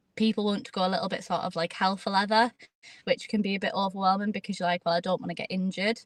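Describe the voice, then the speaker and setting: A woman speaks very fast at medium pitch, somewhat breathy, with fairly even intonation, in a dry, close sound with no echo. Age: 20s. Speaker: jiu-jitsu competitor and school head of year. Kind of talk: interview.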